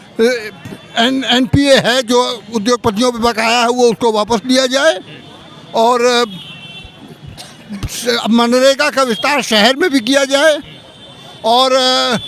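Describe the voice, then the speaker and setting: Music plays in the background as a man speaks with an extremely high pitch and fairly even intonation. His loudness stays very even, and he leaves long, frequent pauses. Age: 60s. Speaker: civil society activist. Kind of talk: vox pop interview. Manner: halting.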